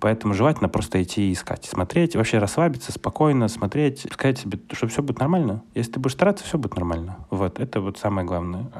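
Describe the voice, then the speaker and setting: A man talks at a very fast pace with lively intonation and hardly any pauses, over noticeable background noise. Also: medium pitch for a man. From Ukraine, Kyiv. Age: 20s. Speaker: product manager and entrepreneur. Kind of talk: casual interview chat. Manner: animated.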